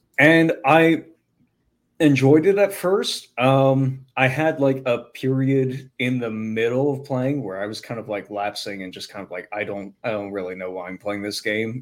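This man talks at a moderate pace with lively intonation and a medium pitch. He has an unremarkable speaking voice. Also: big swings in loudness. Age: 20s. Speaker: YouTuber and game master. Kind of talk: casual chat.

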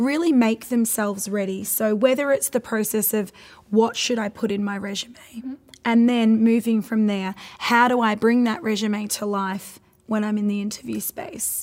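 A woman speaks at a moderate pace in a fairly high pitch. Hers is an unremarkable speaking voice with fairly even intonation. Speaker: podcast host. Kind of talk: casual interview.

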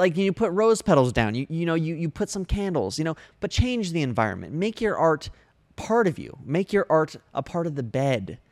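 A man's animated voice, fairly high in pitch, with very wide pitch swings at a moderate pace over a very clean recording and a silent background. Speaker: comedian and livestream host. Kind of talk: live comedic advice show, satirical. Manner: animated, joking, improvising.

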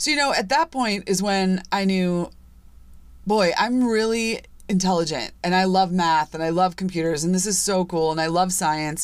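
A woman with an unremarkable speaking voice and an American accent, medium pitch, ordinary pitch variation, very even loudness and a moderate pace. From US Midwest, Chicago suburbs. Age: 40s. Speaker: podcast host. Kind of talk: personal monologue podcast. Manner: casual, conversational.

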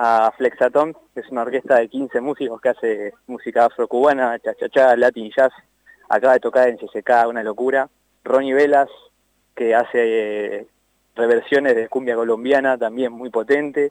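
A man's medium-pitched voice in a monotone, flat intonation at a moderate pace, with a dry, close sound and no echo. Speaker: festival organizer. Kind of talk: phone interview.

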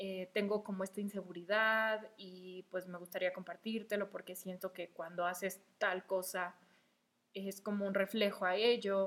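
Fairly slow speech from a woman at a medium pitch, in a monotone, flat intonation. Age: 20s. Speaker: podcast host. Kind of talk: casual monologue. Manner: hesitant, many fillers.

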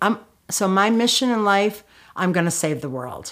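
Speaking at a moderate pace with a Chicago accent, a woman with a fairly high voice lets her pitch swing very widely. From Chicago, US Midwest. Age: 60s. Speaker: author and anti-violence activist. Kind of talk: interview storytelling. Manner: casual, filler-heavy.

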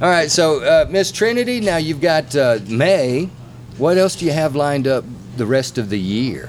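This man's voice sits at a fairly high pitch and swings very widely. He keeps a moderate pace. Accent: Southern US. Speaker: podcast host. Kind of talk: casual interview chat. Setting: on location at venue.

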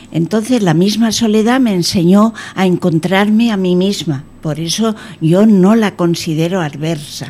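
A woman with lively intonation talks while noticeable background noise plays behind her. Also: medium pitch for a woman, fairly slow pace. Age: 80s+. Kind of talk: radio interview. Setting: radio studio.

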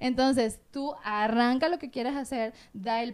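A woman with a high pitch is heard on a very clean recording with a silent background. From Venezuela. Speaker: TV presenter and communicator. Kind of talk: casual interview chat.

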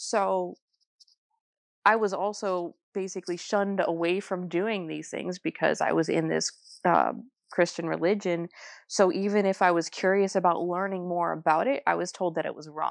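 With an American accent and an ordinary speaking voice, a woman speaks at a moderate pace and a fairly low pitch with fairly even intonation against a quiet background. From New Jersey. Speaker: tarot reader and ghost tour guide. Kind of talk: interview.

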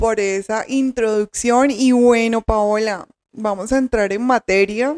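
In a dry, close sound with no echo, a woman speaks very slowly in a fairly high pitch with fairly even intonation. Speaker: podcast host, journalist and novelist. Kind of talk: interview hosting.

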